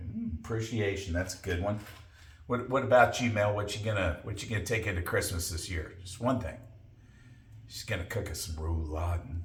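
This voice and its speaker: A man with a fairly low pitch speaks at a fairly quick pace in a somewhat breathy voice, with audible room echo. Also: ordinary pitch variation. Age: 60s. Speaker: podcast co-host. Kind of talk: casual chat.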